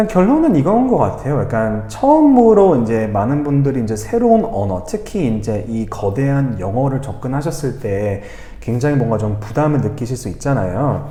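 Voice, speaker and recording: A man at a medium pitch speaks at a moderate pace with very wide pitch swings and hardly any pauses, over noticeable background noise and audible room echo. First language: English (speaking Korean). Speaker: English teacher, language school head. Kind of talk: interview conversation.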